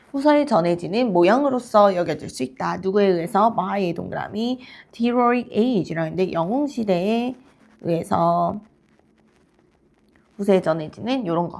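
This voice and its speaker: Lively intonation runs through fairly slow speech broken by long, frequent pauses, captured in a very clean recording with a silent background. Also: woman, medium pitch for a woman. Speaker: English teacher. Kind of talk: lecture. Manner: halting.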